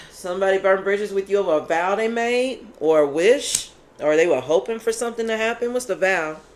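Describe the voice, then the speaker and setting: A woman with an American accent talks at a fairly quick pace, her pitch medium and her intonation lively. Her tone is animated, with noticeable background noise behind her. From Kentucky. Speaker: tarot reader. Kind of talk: tarot reading. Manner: animated, loud; casual conversational.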